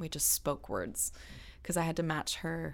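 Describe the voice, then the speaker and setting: A woman with a Californian accent talks at a moderate pace in a very deep, low voice. The recording is very clean, with a silent background. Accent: General American (California). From Los Angeles, US. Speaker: session singer. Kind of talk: interview.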